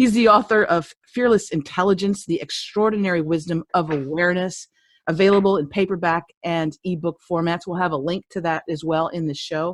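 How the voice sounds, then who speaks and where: A woman's fairly low-pitched voice at a fairly quick pace, an ordinary speaking voice with ordinary pitch variation. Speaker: podcast host. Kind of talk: interview.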